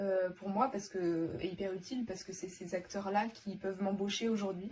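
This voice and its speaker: There is noticeable background noise behind a woman's voice. She speaks at a medium pitch with fairly even intonation. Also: moderate pace. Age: 20s. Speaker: former student. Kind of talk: testimony. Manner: hesitant, many fillers.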